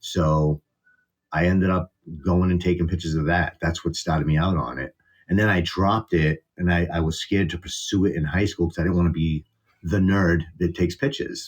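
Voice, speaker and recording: A man with a strong Boston accent talks at a fairly quick pace in a very deep, low voice, keeping his intonation fairly even and his loudness very even. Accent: Boston accent, still strong. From Boston area, US. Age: 40s. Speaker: content creator. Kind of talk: casual interview. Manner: casual, hesitant.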